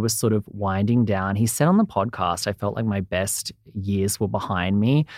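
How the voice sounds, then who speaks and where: In an Australian accent, a man speaks at a moderate pace with a fairly low pitch. The recording is very clean with a silent background and a dry, close sound with no echo. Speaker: entertainment reporter. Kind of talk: casual interview chat.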